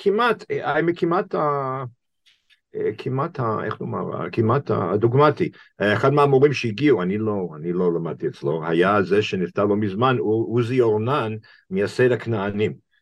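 With an English accent, a man talks at a fairly slow pace. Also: medium pitch for a man, lively intonation. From US, Boston. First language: English (speaking Hebrew). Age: 60s. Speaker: rabbi and professor. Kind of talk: interview conversation. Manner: halting, many fillers.

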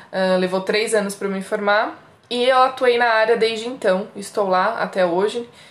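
A plain, everyday voice at a moderate pace. The intonation stays fairly even. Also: woman. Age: 30s. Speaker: podcast co-host, secretary. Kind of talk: casual chat.

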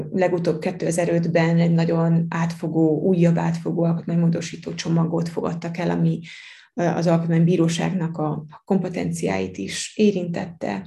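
A woman's fairly low, dark, mellow voice with vocal fry and fairly even intonation, set in audible room echo. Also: moderate pace. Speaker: law lecturer. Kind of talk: interview.

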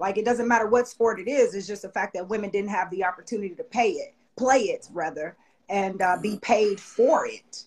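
In a normal speaking voice, a woman talks at a fairly quick pace with a fairly high pitch and ordinary pitch variation. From Chicago, South Side. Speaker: sports agency owner, former athlete. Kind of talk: casual interview chat. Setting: studio.

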